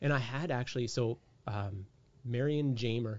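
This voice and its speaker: A man with a Canadian accent speaks at a medium pitch. His voice is somewhat breathy. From Canada, raised across many provinces. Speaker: police officer. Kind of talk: casual interview conversation. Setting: video call.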